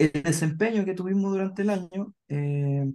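Using ordinary pitch variation, a man with a dark, mellow tone speaks fairly slowly. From southern Chile, Puerto Montt. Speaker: psychologist. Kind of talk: casual chat.

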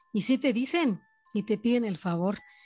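A woman speaks at a moderate pace in a somewhat breathy voice with a dark, mellow tone. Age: 60s. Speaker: storyteller aunt of host. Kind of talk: personal testimony.

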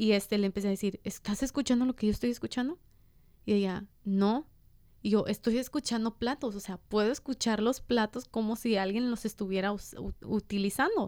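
At a moderate pace, a woman talks in an ordinary speaking voice, fairly high in pitch with fairly even intonation. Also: very clean recording, silent background. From Los Angeles (Boyle Heights / East LA), US. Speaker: podcast co-host. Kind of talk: casual chat.

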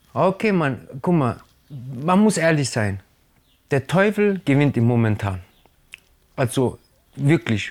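The speech moves very slowly with long, frequent pauses, the pitch swinging very widely while the loudness stays very even. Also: man, fairly high pitch for a man. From Germany, Italian family. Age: 30s. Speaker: hip-hop artist. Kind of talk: casual interview.

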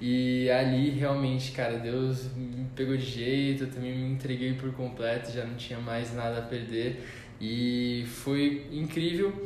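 This man speaks at a fairly slow pace with hardly any pauses. His intonation is monotone and flat. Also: medium pitch for a man. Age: 20s. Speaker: church volunteer leader and accounting student. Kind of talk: casual chat.

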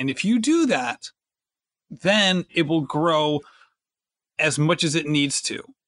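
A man's high-pitched voice, bright and sharp in tone, with lively intonation, a fairly slow pace and a dry, close sound with no echo. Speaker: podcast host. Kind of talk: casual chat.

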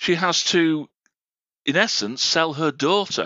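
Speaking at a very slow pace, the man has a fairly high-pitched voice. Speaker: podcast co-host. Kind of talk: casual chat. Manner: animated.

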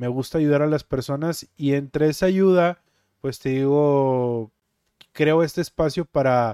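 A man's fairly high voice with fairly even intonation at a fairly slow pace, in a dry, close sound with no echo. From Mexico, Monterrey (Nuevo León). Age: 30s. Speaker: podcaster and streamer. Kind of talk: casual monologue. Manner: relaxed.

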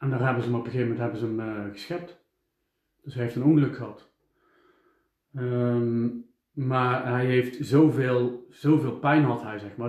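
A man speaks at a moderate pace with a medium pitch and fairly even intonation. He has an unremarkable speaking voice. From Eindhoven, Netherlands. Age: 40s. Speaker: podcaster. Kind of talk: casual interview chat.

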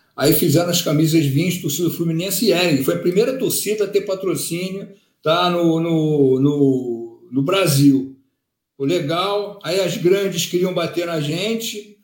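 In a high pitch with ordinary pitch variation, a man speaks at a fairly slow pace amid audible room echo. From Rio de Janeiro, zona sul. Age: 50s. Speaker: football fan leader. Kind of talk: casual chat.

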